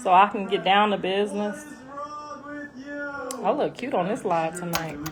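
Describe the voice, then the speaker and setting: Loud and animated, a woman with a fairly high pitch and very wide pitch swings talks at a moderate pace over noticeable background noise. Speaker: rapper's mother and social media personality. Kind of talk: casual livestream chat. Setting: live stream.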